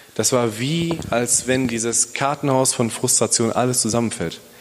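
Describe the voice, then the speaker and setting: A man at a medium pitch, amid noticeable background noise. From Bielefeld, Germany. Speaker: police officer and church planter. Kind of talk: testimony. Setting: church.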